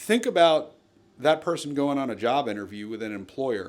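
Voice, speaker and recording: With an American accent and a plain, everyday voice, a man speaks at a fairly high pitch using lively intonation. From New Jersey. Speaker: legal counsel for a wrongful-conviction nonprofit. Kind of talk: interview.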